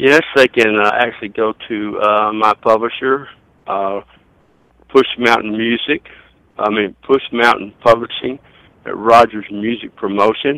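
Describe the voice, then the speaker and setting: In a Southern US accent, a man with a bright, sharp tone talks at a medium pitch and a fairly slow pace, his intonation fairly even and the sound dry and close with no echo. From US South. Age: 60s. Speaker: songwriter and record label owner. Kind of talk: interview.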